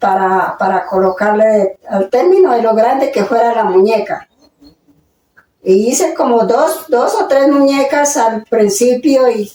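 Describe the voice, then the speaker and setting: Here a woman speaks with a fairly high pitch. Her intonation is lively. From Colombia, Boyacá. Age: 80s+. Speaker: elderly interviewee. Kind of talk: interview. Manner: halting.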